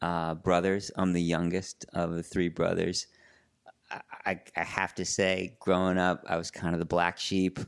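On a very clean recording with a silent background, a man speaks with a New York accent in a very deep, low pitch. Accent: New York area American. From New York suburbs (Larchmont). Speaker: sports editor and journalist. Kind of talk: casual interview conversation.

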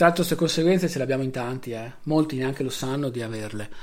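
Very rapid delivery from a man, mid-range in pitch, the pitch moving an ordinary amount. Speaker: solo podcaster. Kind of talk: late-night personal monologue. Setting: recording at night with video on.

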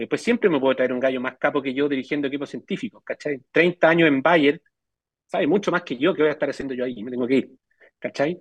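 With a Chilean accent, a man speaks at a very fast pace, recorded dry and close with no echo. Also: ordinary pitch variation. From Chile, Melipilla. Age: 40s. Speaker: biotech entrepreneur. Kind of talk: interview.

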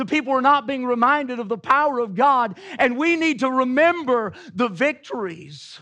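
Against a quiet background, a man with an American accent uses a raised, projected voice of extremely high pitch and bright, sharp tone, talking at a moderate pace with lively intonation and hardly any pauses. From US South. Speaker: pastor. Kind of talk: sermon.

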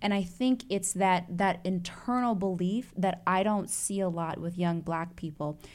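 A woman's ordinary speaking voice at medium pitch, with an American accent, a fairly slow pace, fairly even intonation and hardly any pauses. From Chicago. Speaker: investigative reporter. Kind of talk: casual chat.

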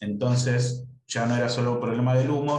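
Audible room echo surrounds a man speaking at a moderate pace in a medium pitch. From Argentina, Buenos Aires. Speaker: writer. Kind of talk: casual interview.

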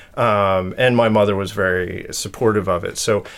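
In an American accent, a man with a plain, everyday voice speaks at a fairly slow pace, his pitch fairly low and his intonation fairly even. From US Northeast, Connecticut. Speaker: artist and craftsman. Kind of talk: casual interview chat. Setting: at his home.

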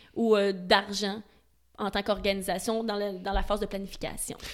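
A woman speaks with a Quebec accent at a moderate pace. The recording is very clean, the background silent. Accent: Québécois French. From Montreal, Quebec. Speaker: event safety specialist. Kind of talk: interview. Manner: passionate.

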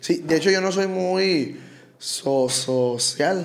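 Lively intonation and a Sinaloan accent come through noticeable background noise and audible room echo. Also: man. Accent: Culiacán Sinaloan. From Culiacán, Sinaloa, Mexico. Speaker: regional Mexican band singer. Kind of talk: casual chat. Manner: reserved.

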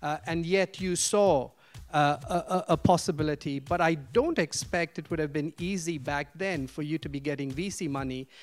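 A man at a moderate pace, ordinary pitch variation, music in the background. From India (Vellore, south). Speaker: business school professor, moderator. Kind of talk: moderated discussion. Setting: classroom with audience.

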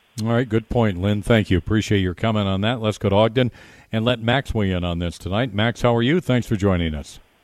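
A man with an ordinary speaking voice talks at a fairly quick pace, fairly low in pitch with ordinary pitch variation. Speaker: radio talk show host. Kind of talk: live radio DJ patter, chatty talk-radio banter with ad reads. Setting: live remote broadcast from a bar's headquarters. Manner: upbeat, conversational, warm, with quick jokes and easy ad-lib rhythm.

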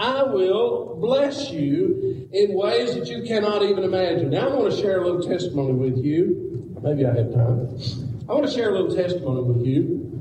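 Amid noticeable background noise and audible room echo, a man speaks at a moderate pace in a high voice with very wide pitch swings. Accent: American. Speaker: pastor. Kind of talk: sermon. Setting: church.

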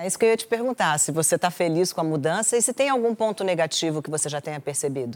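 A woman's fairly low voice at a very fast pace, with very wide pitch swings and hardly any pauses, on a very clean recording with a silent background. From Brasília. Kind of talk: interview talk show. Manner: soft, calm.

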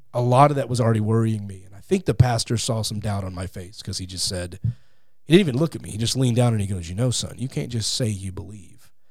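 Somewhat breathy, a man with an American accent and a medium pitch talks at a fairly quick pace with ordinary pitch variation and big swings in loudness. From Texas, Fort Worth. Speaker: podcast host, appearing as guest. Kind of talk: interview and religious debate.

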